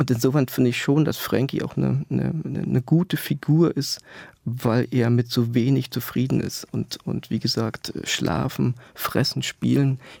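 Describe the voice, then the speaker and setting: A man talks fairly slowly in a dry, close sound that carries no echo. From East Germany. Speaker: author. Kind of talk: interview. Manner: halting.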